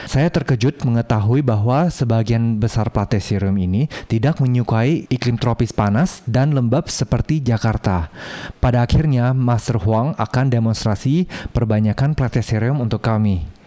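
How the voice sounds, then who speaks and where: A man's medium-pitched voice at a moderate pace, with ordinary pitch variation, very even loudness and noticeable background noise. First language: not Indonesian (speaking Indonesian). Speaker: plant video creator. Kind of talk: video tour narration. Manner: halting; animated.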